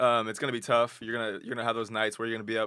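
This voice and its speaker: A man with an American accent speaks at a medium pitch. His intonation is flat and monotone. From Texas, Austin. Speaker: college athlete. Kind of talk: casual chat.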